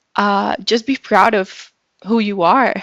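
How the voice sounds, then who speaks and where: In a Brazilian Portuguese accent, a woman with a medium pitch speaks at a very slow pace on a very clean recording with a silent background. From Brazil, São Paulo. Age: 20s. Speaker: public relations professional. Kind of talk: podcast interview.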